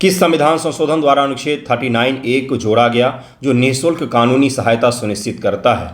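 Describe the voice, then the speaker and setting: With a Bihar accent, a man speaks at medium pitch with ordinary pitch variation. Audible room echo surrounds his voice. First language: Maithili (speaking Hindi). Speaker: exam coaching teacher. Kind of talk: test solution lecture.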